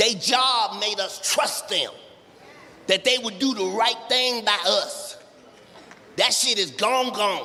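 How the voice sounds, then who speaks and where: A man speaks in a raised, projected voice at a fairly slow pace with ordinary pitch variation. Noticeable background noise can be heard. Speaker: stand-up comedian. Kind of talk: stand-up comedy routine.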